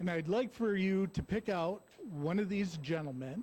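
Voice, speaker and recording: At a very slow pace, a man talks with ordinary pitch variation. His high voice has a dark, mellow tone. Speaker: recovery program aftercare coordinator. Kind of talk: church talk. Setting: church. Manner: loud.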